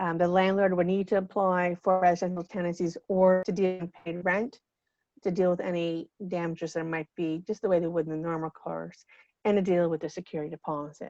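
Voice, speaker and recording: Fairly quick and flat in intonation, a woman speaks with a dark, mellow tone. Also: fairly low pitch for a woman, dry, close sound with no echo. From Cape Breton, Nova Scotia. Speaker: legal aid lawyer. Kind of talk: workshop presentation. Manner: fast.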